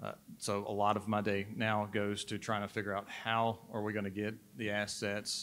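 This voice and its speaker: A man's fairly low voice with a Southern US accent, flat monotone intonation and a moderate pace. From Mississippi. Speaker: state transportation data manager. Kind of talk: panel discussion.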